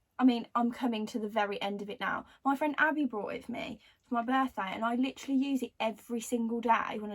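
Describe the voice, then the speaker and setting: A woman with a Birmingham accent talks at a very fast pace in a fairly high, somewhat breathy voice. Her intonation stays fairly even. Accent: Birmingham (Brummie) English. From Birmingham, England. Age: 20s. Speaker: beauty vlogger. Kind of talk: casual chat. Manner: casual, filler-heavy.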